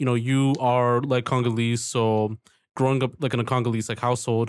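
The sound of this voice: A man speaks at a fairly quick pace with little pitch movement. His tone is clear and smooth. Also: medium pitch for a man.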